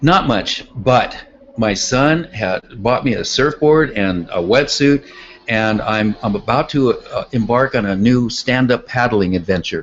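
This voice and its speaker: A man with an American accent speaks at a medium pitch and a fairly slow pace. His pitch varies in an ordinary way, with noticeable background noise behind him. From California. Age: 60s. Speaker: artist and tennis coach. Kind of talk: interview.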